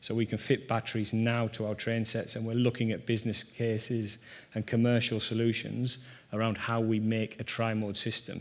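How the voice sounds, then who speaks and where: A fairly quick pace in a northeast English accent. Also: man. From northeast England, Durham. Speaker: rail industry executive. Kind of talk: conference presentation.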